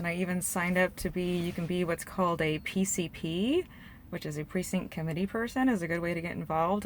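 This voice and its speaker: A woman talks at a very fast pace in a West Coast accent. Her fairly low voice holds a fairly even intonation. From Portland, Oregon. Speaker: political vlogger. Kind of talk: testimony. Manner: rambling with many fillers.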